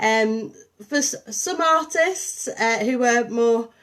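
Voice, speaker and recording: Her intonation is lively. This woman's pitch sits fairly high. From northern England, St Helens and Liverpool. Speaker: artist and arts programme coordinator. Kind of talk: live-streamed artist talk. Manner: hesitant, many fillers.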